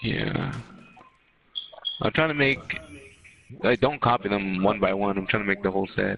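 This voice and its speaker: A man's fairly low voice at a moderate pace, with ordinary pitch variation, long and frequent pauses, and noticeable background noise. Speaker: gaming streamer. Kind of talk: casual chat. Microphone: echo on own mic.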